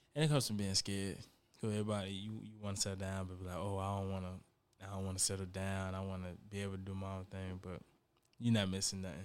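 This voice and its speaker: At a very fast pace, a man speaks in a very deep, low pitch with fairly even intonation amid audible room echo. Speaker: rapper. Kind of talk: casual chat.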